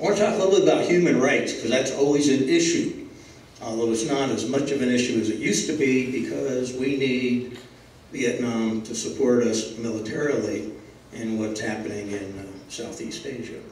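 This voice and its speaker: Ordinary pitch variation and a moderate pace come through with audible room echo. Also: man. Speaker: guest lecturer. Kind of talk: lecture. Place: hall.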